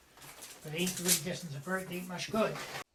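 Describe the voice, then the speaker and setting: A man speaks with a Newfoundland accent at a high pitch, his intonation fairly even. Noticeable background noise runs behind him. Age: 70s. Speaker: fisherman. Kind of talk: interview. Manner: halting.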